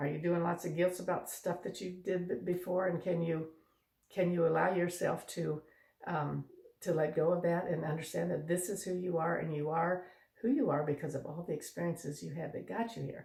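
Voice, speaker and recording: At a moderate pace, a woman with a fairly low pitch speaks in a dark, mellow tone with vocal fry. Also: fairly even intonation. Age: 70s. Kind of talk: casual talk to camera. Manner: hesitant, rambling.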